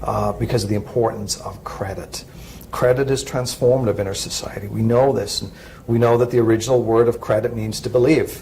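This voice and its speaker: A man's medium-pitched voice, monotone and flat in intonation, at a fairly quick pace with noticeable background noise. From Ireland. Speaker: credit union executive. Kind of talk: interview. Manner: halting, many fillers.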